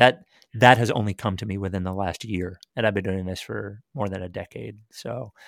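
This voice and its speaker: Vocal fry at a moderate pace with ordinary pitch variation, in a very clean recording with a silent background. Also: man. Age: 40s. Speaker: sports radio programming executive and podcast host. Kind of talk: casual chat.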